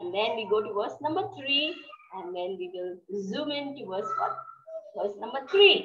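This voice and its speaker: Noticeable background noise sits behind a woman at a moderate pace. Her pitch swings very widely. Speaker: devotional class speaker. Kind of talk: scripture class lecture. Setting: video call. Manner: formal. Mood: calm devotional teaching. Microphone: video call.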